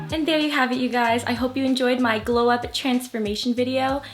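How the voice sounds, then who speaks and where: A woman with a fairly high voice talks at a fairly quick pace over noticeable background noise. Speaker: beauty vlogger. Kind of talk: casual vlog talk to camera. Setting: at home. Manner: fast.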